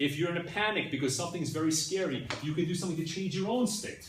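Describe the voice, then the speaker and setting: Noticeable background noise and audible room echo surround a man whose high voice shows ordinary pitch variation. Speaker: class teacher. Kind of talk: lecture. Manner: fast.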